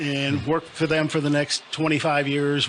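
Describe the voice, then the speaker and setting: A man speaks with an American accent and a fairly high pitch. Noticeable background noise runs behind him. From US Midwest, Rock Island, Illinois. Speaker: deputy police chief. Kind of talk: interview. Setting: radio studio.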